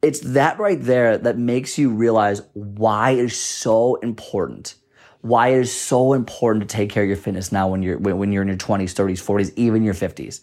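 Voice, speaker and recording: An ordinary speaking voice belonging to a man moves at a moderate pace, medium in pitch with ordinary variation. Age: 20s. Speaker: fitness and nutrition podcast host. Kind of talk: solo podcast monologue. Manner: casual, conversational.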